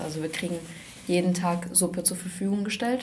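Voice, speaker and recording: A woman's fairly low voice with audible room echo. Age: young. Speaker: hospital volunteer. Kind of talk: casual chat. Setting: studio.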